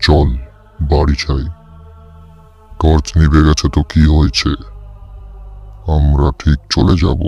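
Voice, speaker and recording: A cartoonish character voice at a fairly slow pace, faint music in the background. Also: man, very deep, low pitch for a man. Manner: eerie, coaxing.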